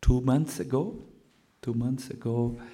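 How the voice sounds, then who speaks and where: A man with a German accent speaks in a dark, mellow tone. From Germany. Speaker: Hare Krishna teacher. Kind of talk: spiritual lecture. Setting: lecture hall with audience. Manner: halting, with many fillers.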